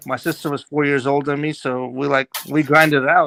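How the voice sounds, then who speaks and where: Over music in the background, a man with a fairly high pitch and fairly even intonation speaks in a dry, close sound with no echo. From Armenian family, born in Azerbaijan, moved to US at 11. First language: Russian and Armenian. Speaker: guest on live stream panel. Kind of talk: casual chat.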